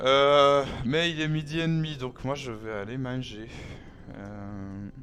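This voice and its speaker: The speech moves at a very slow pace with ordinary pitch variation. Noticeable background noise can be heard. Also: man, medium pitch for a man. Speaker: gaming streamer. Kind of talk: live gameplay stream chat. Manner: hesitant, many fillers.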